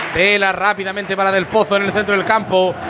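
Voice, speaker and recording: Over crowd noise in the background, a man speaks at a very fast pace in a raised, projected voice with a high pitch for a man. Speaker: radio football commentator. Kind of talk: live football commentary. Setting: stadium press box, radio broadcast. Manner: fast, rapid-fire play-by-play; animated, excited.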